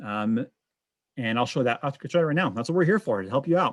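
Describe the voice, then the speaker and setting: A man with a medium pitch speaks with lively intonation. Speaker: software trainer. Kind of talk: webinar tutorial. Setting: video call webinar, streamed live. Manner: fast.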